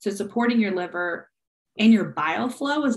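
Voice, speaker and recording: A woman speaks with a normal speaking voice. Her pace is moderate, with ordinary pitch variation. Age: 30s. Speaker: functional nutrition practitioner. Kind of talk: casual interview.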